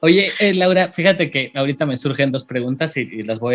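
Pitch varies in an ordinary way as the speaker moves along fairly quickly. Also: man. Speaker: podcast host. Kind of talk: casual interview chat. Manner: halting, many repeated words.

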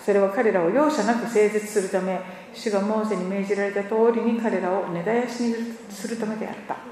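In a room with audible echo and noticeable background noise, a woman talks fairly quickly at a fairly high pitch with fairly even intonation. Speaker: church interpreter. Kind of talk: sermon interpretation.

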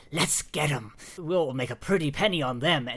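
Putting on a character voice, a man speaks gruffly at a moderate pace and a fairly high pitch.

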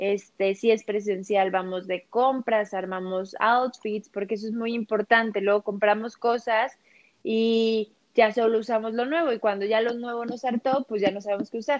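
This woman has a normal speaking voice, pitched fairly high, and talks at a moderate pace. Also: fairly even intonation. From Mexico City. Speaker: image consultant. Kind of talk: interview.

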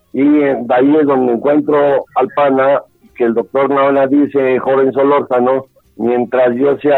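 Music plays behind a man talking at a fairly slow pace. His medium-pitched voice has monotone, flat intonation. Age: 60s. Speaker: bullfighting manager and former novice bullfighter. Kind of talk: interview. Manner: halting.

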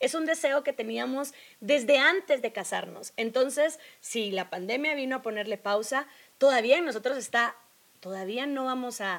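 Lively, high female speech delivered at a moderate pace. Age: 30s. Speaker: podcast co-host. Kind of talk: casual chat.

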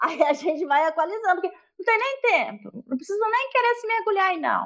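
A woman with an extremely high pitch talks at a moderate pace, her voice making very wide pitch swings. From rural Minas Gerais, Brazil. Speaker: literature teacher. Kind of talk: casual chat.

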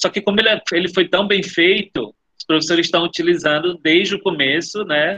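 A fairly fast, high-pitched male voice with ordinary shifts in pitch. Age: 30s. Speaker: education official. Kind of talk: webinar Q&A.

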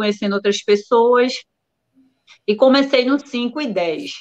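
A woman speaks with a high pitch at a fairly slow pace. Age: 40s. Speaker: ultramarathon runner. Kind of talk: casual live-stream interview.

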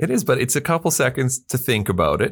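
A man with a plain, everyday voice speaks at a fairly quick pace in a Canadian accent, with lively intonation. The recording is very clean, with a silent background. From Canada. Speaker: podcast regular, company staff. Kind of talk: casual chat. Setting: studio.

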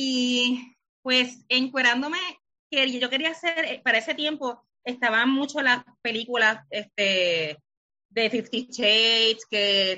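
A woman speaks very slowly in a high pitch. She has a Puerto Rican accent. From Puerto Rico (Lajas). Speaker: author. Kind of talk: interview.

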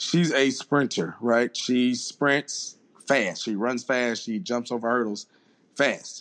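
Speaking at a very slow pace with a Southern US accent, a man keeps a medium pitch and ordinary pitch variation. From Mississippi, US South. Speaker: strength and conditioning coach. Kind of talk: casual interview.

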